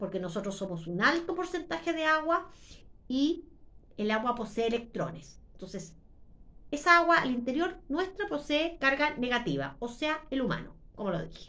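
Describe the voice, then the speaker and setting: A woman's high-pitched voice with a bright, sharp tone and very wide pitch swings. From Chile. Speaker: YouTuber. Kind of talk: monologue. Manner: deliberately slowed.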